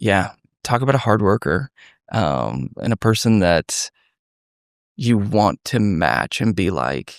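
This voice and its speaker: A man talks at a very slow pace with long, frequent pauses, a fairly low pitch with very wide swings, vocal fry and very even loudness. The recording is very clean with a silent background and a dry, close sound with no echo. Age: 30s. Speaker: former detective, nonprofit founder. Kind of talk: podcast interview. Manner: conversational, warm.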